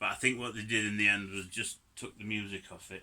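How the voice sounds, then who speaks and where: With a Yorkshire accent, a man speaks in a fairly low pitch and a bright, sharp tone, keeping his intonation fairly even. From Yorkshire, northern England. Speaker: DIY car hobbyist. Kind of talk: tutorial. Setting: home garage. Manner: casual, chatty.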